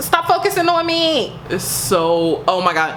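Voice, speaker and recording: Room echo and noticeable background noise surround the woman as she talks. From US South, rural. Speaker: lifestyle YouTuber. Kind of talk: casual vlog with product promotion. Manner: animated.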